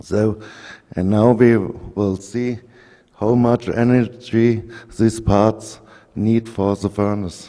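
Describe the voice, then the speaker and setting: A dark, mellow tone in a flat monotone, at a very slow pace with long, frequent pauses. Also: man, fairly low pitch for a man. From Germany. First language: German. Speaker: engineer presenting at an industry conference. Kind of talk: technical presentation. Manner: halting, with frequent fillers.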